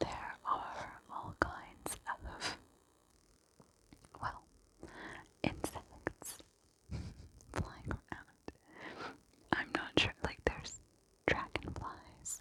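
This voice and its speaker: Whispering comes at a very slow pace with long, frequent pauses. Noticeable background noise is present. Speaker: ASMR creator. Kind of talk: ASMR whisper ramble. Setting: outdoors. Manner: whispered.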